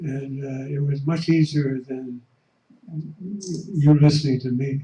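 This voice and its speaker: At a fairly slow pace, a man with a fairly high pitch and a dark, mellow tone speaks in a monotone, flat way, somewhat breathy, with big swings in loudness. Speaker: economist, audience member. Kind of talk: audience comment. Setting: conference room. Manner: halting.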